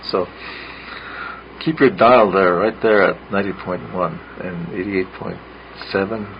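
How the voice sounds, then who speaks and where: There is noticeable background noise behind the speech. A man speaks with a very deep, low pitch and ordinary pitch variation. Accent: Lakota. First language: Lakota. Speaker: radio host. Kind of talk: radio storytelling show. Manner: halting, many fillers.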